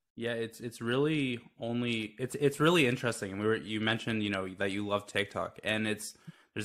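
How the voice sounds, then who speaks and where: This man has a normal speaking voice at medium pitch, with ordinary pitch variation and a moderate pace. The recording is very clean, with a silent background. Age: 20s. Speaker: mental health startup founder. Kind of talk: interview.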